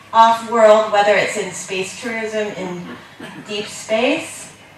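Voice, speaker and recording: With audible room echo and noticeable background noise, a woman talks at a very slow pace. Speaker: space education entrepreneur. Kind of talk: conference talk. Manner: loud, projecting voice; animated.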